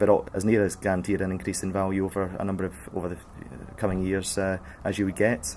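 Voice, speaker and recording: A man speaks at a very fast pace in a very deep, low voice. His intonation stays fairly even. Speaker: auctioneer. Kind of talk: interview answer. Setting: radio broadcast.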